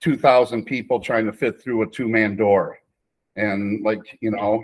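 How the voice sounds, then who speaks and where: Monotone and flat, a man speaks at a fairly slow pace. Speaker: podcast guest. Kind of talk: interview answer. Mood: nostalgic, amused storytelling. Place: kitchen. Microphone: video call.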